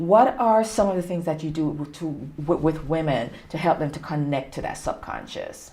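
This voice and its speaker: A woman's very deep, low voice in a Jamaican accent, at a moderate pace with ordinary pitch variation. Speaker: talk show host. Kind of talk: interview.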